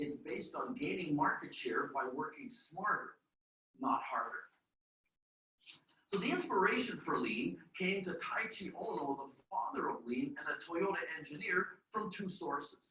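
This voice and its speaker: With a Canadian accent, a man projects a raised voice, high in pitch and bright and sharp in tone. His pitch swings very widely, and long, frequent pauses break up his speech. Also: moderate pace. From Canada. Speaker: public speaking coach. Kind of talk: keynote speech. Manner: measured pace, about 120 words a minute.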